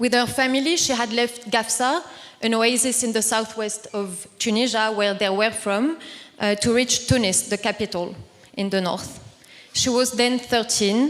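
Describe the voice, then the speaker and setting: A woman with a French accent speaks at a moderate pace in a fairly high voice, her pitch varying in an ordinary way over noticeable background noise. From southern France, near Toulouse. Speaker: activist and panel speaker. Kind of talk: conference talk. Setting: conference panel with audience. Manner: formal.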